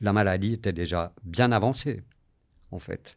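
On a very clean recording with a silent background, a man speaks very slowly at a very deep, low pitch with ordinary pitch variation. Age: 60s. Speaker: long-term HIV patient. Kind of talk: interview testimony.

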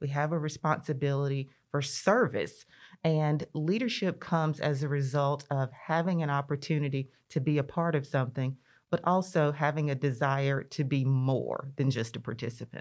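In a very clean recording with a silent background, a woman with a Mississippi accent speaks at a moderate pace, very deep and low in pitch, with fairly even intonation. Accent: Southern US (Mississippi). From US South, rural northeast Mississippi (Lee County). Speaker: state legislator. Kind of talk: interview conversation.

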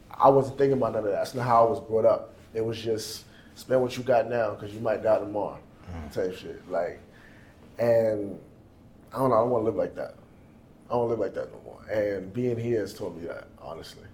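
A man talks fairly quickly, his voice carrying audible room echo. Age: young. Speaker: sales agent and musician. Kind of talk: casual interview.

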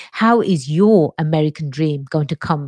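Someone with an English accent speaks at a fairly slow pace with ordinary pitch variation. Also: woman. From England. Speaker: lawyer and podcast host. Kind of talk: solo podcast monologue.

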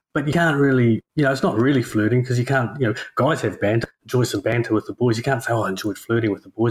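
In a dry, close recording with no echo, a man with a medium pitch and a somewhat breathy voice talks very fast with hardly any pauses and ordinary pitch variation. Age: 40s. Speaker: podcast co-host. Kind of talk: casual chat.

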